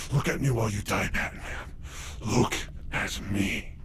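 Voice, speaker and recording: Over loud background noise, a man puts on a character voice, fairly low in pitch and at a moderate pace. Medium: tutorial demo.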